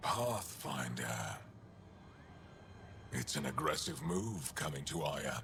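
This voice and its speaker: A put-on character voice moves at a fairly slow pace with long, frequent pauses over clear background noise. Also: man, very deep, low pitch for a man. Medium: video game. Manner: curt, guarded.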